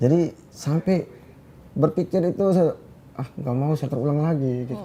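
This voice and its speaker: At a moderate pace, a man speaks with a fairly high pitch, ordinary pitch variation and a dark, mellow, somewhat breathy tone. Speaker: singer. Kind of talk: interview answer.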